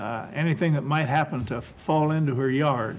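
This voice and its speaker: Fairly high in pitch, a man with a Midwestern American accent speaks amid audible room echo. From West Milton, Ohio, US Midwest. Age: 70s. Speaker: oral history panelist. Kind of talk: oral history reminiscence. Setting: panel taping.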